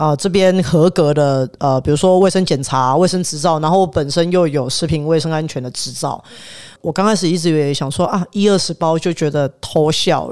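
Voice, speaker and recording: This man's voice sits at a fairly high pitch, with an animated tone and ordinary pitch variation. He keeps a moderate pace with hardly any pauses. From Taiwan, south. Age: 30s. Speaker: chef. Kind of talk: casual chat.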